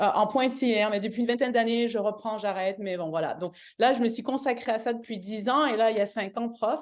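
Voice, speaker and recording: Her pitch is fairly high. The woman's pitch varies in an ordinary way. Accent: Canadian French. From Canada. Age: 40s. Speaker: yoga teacher. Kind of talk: testimony. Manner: hesitant, many fillers and restarts.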